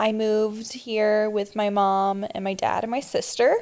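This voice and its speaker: A woman with an American accent and an unremarkable speaking voice talks at a fairly slow pace and a fairly high pitch on a very clean recording with a silent background. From New Jersey, near Philadelphia. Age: 20s. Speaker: podcast co-host. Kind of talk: casual chat.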